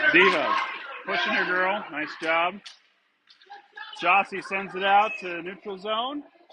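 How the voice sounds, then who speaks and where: Speaking very slowly in a raised, projected voice, a man with a high pitch and ordinary pitch variation leaves long, frequent pauses. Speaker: amateur game commentator. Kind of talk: live commentary. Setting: ice rink. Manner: loud; animated.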